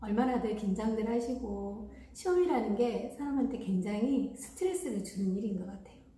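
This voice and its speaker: A woman with a strong Jeolla accent, fairly high in pitch, at a moderate pace with lively intonation, amid noticeable background noise and audible room echo. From Gwangju, Jeolla region, South Korea. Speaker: caregiver training school director. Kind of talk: informational talk.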